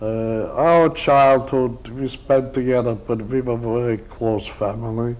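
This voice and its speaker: A man of medium pitch speaks at a very slow pace with audible room echo. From Poland (Drohobych, now Ukraine). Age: 70s. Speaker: Holocaust survivor. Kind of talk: oral history interview. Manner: halting, many hesitations.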